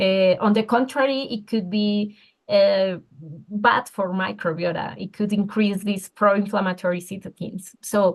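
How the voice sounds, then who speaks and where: With a Spanish accent, a woman speaks at a moderate pace. Her pitch sits in the medium range. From Colombia. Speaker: sports nutritionist. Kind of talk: interview. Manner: halting, many fillers.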